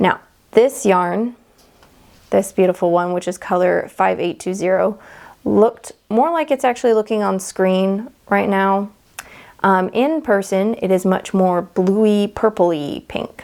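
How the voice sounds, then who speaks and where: A woman with an American accent speaks at a fairly slow pace, with a medium pitch. She has an ordinary speaking voice and ordinary pitch variation. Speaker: knitting podcaster. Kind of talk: casual show-and-tell vlog. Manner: chatty, informal.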